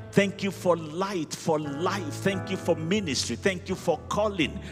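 A man talks over clear music in the background. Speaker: pastor leading prayer. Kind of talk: prayer. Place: hall. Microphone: handheld.

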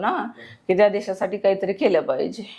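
Here is an unremarkable speaking voice from a woman at medium pitch, with fairly even intonation. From Maharashtra, Satara district. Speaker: war widow. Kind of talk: testimony.

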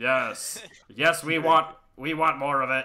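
This man uses a put-on character voice pitched fairly high.

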